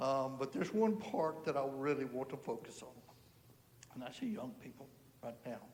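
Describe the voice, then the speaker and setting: Lively intonation in an American accent, with long, frequent pauses, audible room echo and big swings in loudness. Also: man, fairly high pitch for a man, moderate pace. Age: 60s. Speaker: churchgoer giving testimony. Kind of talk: testimony. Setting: church service.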